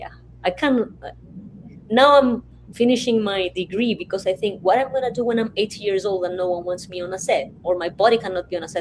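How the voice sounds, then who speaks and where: In an unremarkable speaking voice, a woman talks at a fairly quick pace, medium in pitch with ordinary pitch variation. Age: 50s. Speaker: filmmaker. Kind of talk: panel discussion. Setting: video call.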